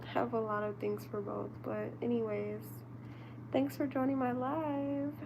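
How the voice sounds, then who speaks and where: With noticeable background noise and audible room echo, a woman speaks at a fairly slow pace in a very deep, low pitch, with ordinary pitch variation. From US Midwest. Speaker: live streamer. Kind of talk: casual livestream chat. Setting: live stream.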